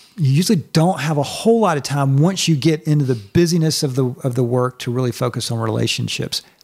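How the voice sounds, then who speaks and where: With an American accent, a man talks at a moderate pace, fairly high in pitch and somewhat breathy, with lively intonation. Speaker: church staff leader. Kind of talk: casual chat.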